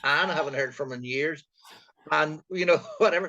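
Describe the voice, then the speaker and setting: This man has a Northern Irish accent. His pitch variation is ordinary. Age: 60s. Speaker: retired co-host. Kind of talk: casual chat.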